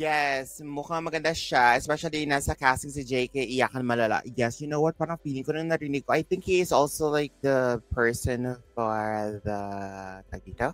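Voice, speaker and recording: An animated man's voice, fairly high-pitched, at a moderate pace with ordinary pitch variation, dry and close with no echo. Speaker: reaction streamer. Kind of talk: live stream chat.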